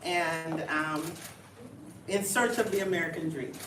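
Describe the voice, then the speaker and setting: Woman with a slight Jamaican accent, fairly low pitch, ordinary pitch variation, and a fairly slow pace, amid noticeable background noise and audible room echo. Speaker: city manager. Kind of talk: town hall speech. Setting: community meeting with audience.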